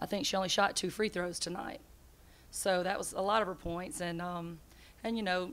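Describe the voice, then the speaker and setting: A woman at a moderate pace, her intonation fairly even. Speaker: basketball head coach. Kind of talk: interview answer. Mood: disappointed after a loss. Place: hall. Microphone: podium.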